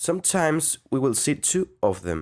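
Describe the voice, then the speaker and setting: Against a quiet background, a man with a Spanish accent speaks with vocal fry and very wide pitch swings. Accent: Spanish accent in English, non-native. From Mexico, Guadalajara. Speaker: audio engineering student. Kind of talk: tutorial. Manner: halting.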